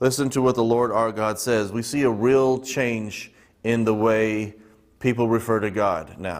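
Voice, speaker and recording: Man with a fairly low pitch and monotone, flat intonation, with audible room echo. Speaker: Bible teacher. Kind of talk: Bible study teaching. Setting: church. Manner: halting, many fillers.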